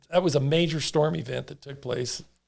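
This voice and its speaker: Somewhat breathy, a man speaks. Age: 60s. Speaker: farmer and water board member. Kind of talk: casual interview.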